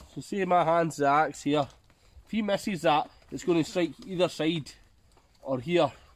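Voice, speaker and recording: Heard in a dry sound with no echo, a man with a Scottish accent speaks at a high pitch and a moderate pace. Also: ordinary pitch variation. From Scotland. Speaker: bushcraft video creator. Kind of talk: outdoor tutorial vlog. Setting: outdoors in forest. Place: forest. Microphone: phone near.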